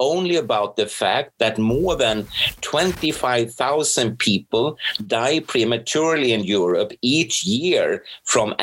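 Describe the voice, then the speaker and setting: Speaking with a Swedish accent, a man talks at a very slow pace with lively intonation. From Sweden. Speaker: professor and researcher. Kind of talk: interview.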